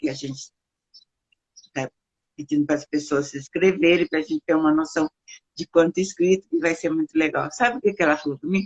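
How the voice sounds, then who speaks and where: A woman's very deep, low voice with ordinary pitch variation and long, frequent pauses, in a dry, close sound with no echo. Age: 60s. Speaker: founder of an elderly care service. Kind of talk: interview.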